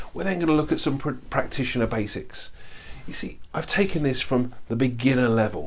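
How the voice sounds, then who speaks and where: A man's medium-pitched voice at a fairly quick pace, ordinary pitch variation, and audible room echo. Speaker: life coaching trainer. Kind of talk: online course lecture. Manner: fast; animated.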